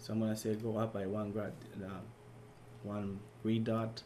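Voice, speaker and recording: A man speaks at a fairly low pitch. Audible room echo is present. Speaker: teaching assistant. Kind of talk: tutorial. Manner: fast; hesitant, many fillers.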